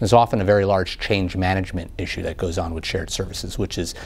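Fairly even intonation from a man with a very deep, low pitch. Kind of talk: interview answer. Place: studio.

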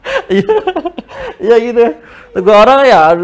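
An animated male voice with very wide pitch swings. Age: 20s. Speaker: open mic stand-up comedian. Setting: stage with audience. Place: studio.

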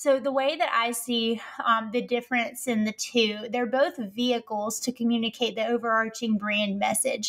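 Speaking with a Southern US accent, a woman keeps a moderate pace and fairly even intonation at a fairly high pitch, with hardly any pauses. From US South. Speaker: copywriter and marketing strategist. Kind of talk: casual interview chat.

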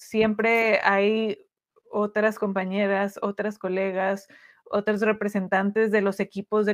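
Against a quiet background, a woman talks at a fairly slow pace with medium pitch and monotone, flat intonation. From Tijuana, Mexico; Mexico. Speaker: sports journalist. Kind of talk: interview. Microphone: video call.

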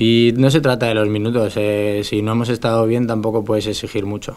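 A man speaks at a fairly quick pace. His fairly low voice stays monotone and flat. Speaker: professional footballer. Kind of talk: press conference. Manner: halting. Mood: calm, measured. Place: meeting room. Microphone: podium.

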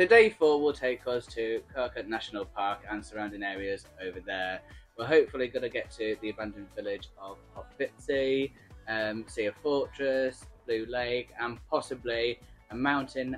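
A man speaks at a moderate pace with ordinary pitch variation as faint music plays behind him. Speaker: travel vlogger. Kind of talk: casual vlog chat. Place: home room. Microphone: phone near.

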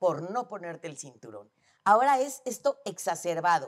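Against a quiet background, a woman speaks at medium pitch and a fairly slow pace. Her pitch swings very wide. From Mexico. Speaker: psychologist; guest. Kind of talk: casual chat. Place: studio. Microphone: lapel.

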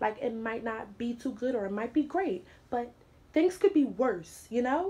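Speaking at a moderate pace, a woman uses a high voice with very wide pitch swings. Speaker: vlogger. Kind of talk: spoken word talk to camera. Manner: casual, conversational. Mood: warm, encouraging. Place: home room. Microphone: phone near.

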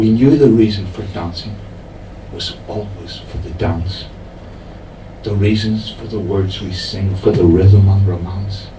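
A man speaks at a fairly slow pace with fairly even intonation and long, frequent pauses. Light background noise and audible room echo are present. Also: fairly low pitch for a man. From Ireland. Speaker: poet reading own work. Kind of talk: poetry reading at a live pub showcase. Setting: pub venue, live audience. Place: bar.

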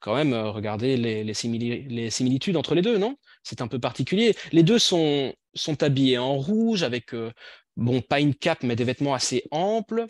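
With lively intonation, a man speaks at a moderate pace. The sound is dry with no echo and the background is quiet. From Belgium. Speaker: language teacher trainer. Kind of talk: online workshop presentation. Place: home room. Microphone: video call.

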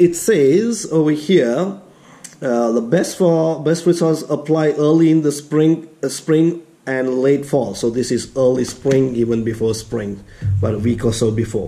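Talking at a fairly slow pace, a man uses lively intonation. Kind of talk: tutorial.

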